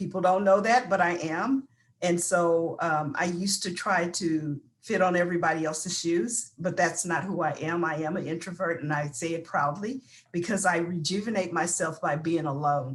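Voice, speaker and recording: Somewhat breathy, a woman speaks at a fairly low pitch and a moderate pace with ordinary pitch variation. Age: 60s. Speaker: panelist. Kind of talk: panel discussion.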